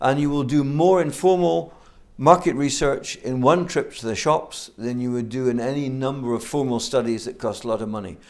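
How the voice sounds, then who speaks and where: A man with a Scottish accent at a medium pitch and moderate pace, on a very clean recording with a silent background. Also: ordinary pitch variation. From Scotland. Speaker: business school program director. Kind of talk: interview.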